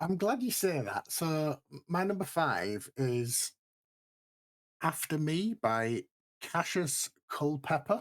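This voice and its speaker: At a very slow pace, a man with a British accent and a fairly high pitch speaks with very wide pitch swings, in a dry, close sound with no echo. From Britain. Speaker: podcast co-host. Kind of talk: casual chat.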